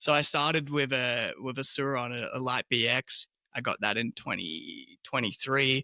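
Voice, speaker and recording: With an Australian accent, a man speaks at a moderate pace in a medium pitch, his tone bright and sharp with vocal fry and ordinary pitch variation. The recording is very clean and dry, close with no echo, over a silent background. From Australia, southeastern suburbs of Melbourne. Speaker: small business owner, tour operator. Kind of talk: casual interview.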